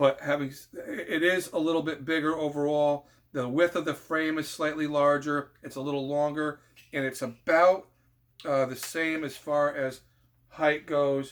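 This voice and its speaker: In a very clean recording with a silent background, a man with a fairly high voice speaks in a monotone, flat delivery. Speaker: firearms video creator. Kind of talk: informal tutorial. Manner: fast, rushing; halting, many fillers.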